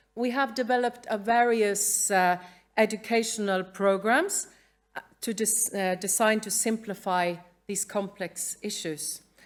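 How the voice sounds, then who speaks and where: Fairly slow speech in a Norwegian accent with fairly even intonation. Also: woman, medium pitch for a woman. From Norway. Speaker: museum educator. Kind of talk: conference talk. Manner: halting; reading from a script.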